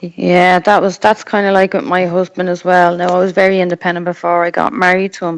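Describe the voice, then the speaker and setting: A woman with an Irish accent at a moderate pace. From Ireland. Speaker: mother sharing experience of abuse. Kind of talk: casual chat.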